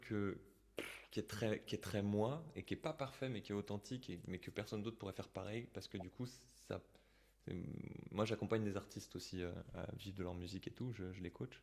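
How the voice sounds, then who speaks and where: Moving at a fairly quick pace, this is a normal speaking voice with ordinary pitch variation. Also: man. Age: 30s. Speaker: singer-songwriter. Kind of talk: casual chat. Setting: video call.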